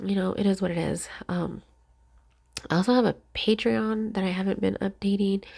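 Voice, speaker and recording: A soft-spoken woman talks at a fairly quick pace, her pitch medium with ordinary variation. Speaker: crafting YouTuber. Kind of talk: casual chat. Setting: voiceover recorded at home. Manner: halting.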